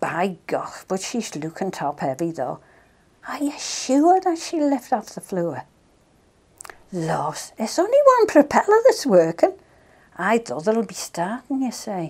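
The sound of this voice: A woman's medium-pitched, slightly mellow voice with a slightly husky edge, very wide pitch swings and a fairly slow pace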